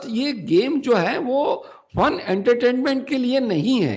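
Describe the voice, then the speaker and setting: Lively intonation marks this man's speech, which has audible room echo. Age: 60s. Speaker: faculty development trainer. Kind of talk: lecture. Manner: halting, frequent self-corrections.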